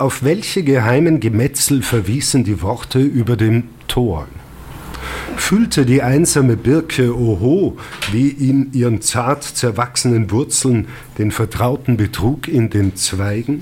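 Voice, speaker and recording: Noticeable background noise accompanies a man who speaks at a very slow pace and a medium pitch, with ordinary pitch variation and very even loudness. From Austria, Lungau (Salzburg). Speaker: historian and author. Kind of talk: reading aloud. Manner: formal.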